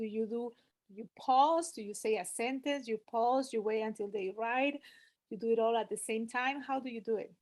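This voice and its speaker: A woman with a Spanish accent speaks at a fairly high pitch and a moderate pace, her intonation fairly even. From Peru. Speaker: language teacher asking a question. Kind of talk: question in webinar. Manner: halting.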